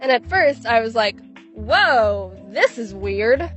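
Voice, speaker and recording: A woman is talking. Noticeable noise fills the background. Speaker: YouTuber. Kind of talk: comedic vlog monologue.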